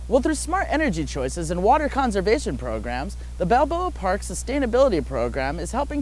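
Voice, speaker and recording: A man speaks fairly quickly, with noticeable background noise present. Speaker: news anchor and TV reporter. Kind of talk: TV news anchoring and field reporting.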